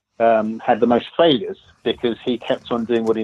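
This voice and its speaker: A man with an English accent talks at a fairly quick pace, medium in pitch, with fairly even intonation. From England. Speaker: author and business consultant. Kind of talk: podcast interview.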